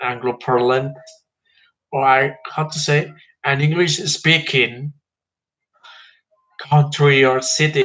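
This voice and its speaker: With a Spanish accent, a man speaks at medium pitch in a bright, sharp tone. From Mexico. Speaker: history vlogger. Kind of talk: informal history talk. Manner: halting, with fillers.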